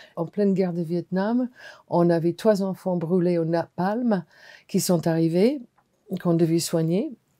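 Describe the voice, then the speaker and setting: A woman with an American accent speaks at a very slow pace in a fairly low, dark, mellow tone. The recording is very clean with a silent background and a dry, close sound with no echo. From US, Washington. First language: English (speaking French). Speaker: hospital clown and performer. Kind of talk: testimony.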